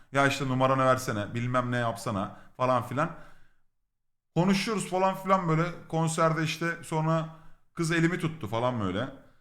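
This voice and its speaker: There is audible room echo around a man speaking at a moderate pace. His intonation is lively. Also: fairly high pitch for a man. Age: 30s. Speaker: streamer. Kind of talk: casual storytelling. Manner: animated, laughing.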